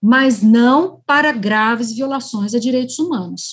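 A woman speaks at a fairly slow pace in a fairly high pitch. The recording is very clean, with a silent background. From Brazil, interior of São Paulo state. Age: 50s. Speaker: federal prosecutor. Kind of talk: interview. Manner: halting, many fillers.

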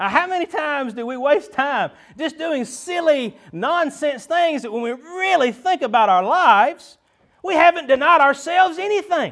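A man with a Southern US accent talks in an extremely high pitch. His intonation is lively and his pace moderate. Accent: US South. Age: 30s. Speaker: pastor. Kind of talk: sermon. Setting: church. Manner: animated.

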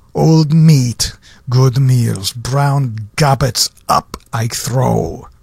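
The speech comes at a very slow pace. Noticeable background noise is present. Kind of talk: poetry reading, dramatic performance of a comic poem. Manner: theatrical, animated, with melodramatic emphasis.

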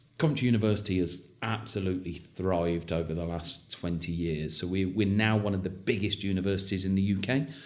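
Talking at a fairly quick pace, a man with an English accent has a very deep, low pitch and ordinary pitch variation. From England. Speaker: university representative. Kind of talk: interview. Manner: enthusiastic; repeats words often.

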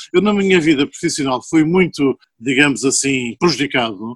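An ordinary speaking voice with lively intonation moves at a moderate pace, captured dry and close with no echo. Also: man. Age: 60s. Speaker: chemical engineer and poet. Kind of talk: casual chat.

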